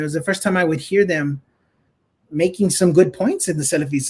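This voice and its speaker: High male voice with ordinary pitch variation. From USA. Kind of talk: interview. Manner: halting, repeats words.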